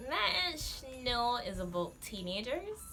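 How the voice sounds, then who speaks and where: Music plays in the background while this woman talks. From Barbados. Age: 20s. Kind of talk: casual talk to camera.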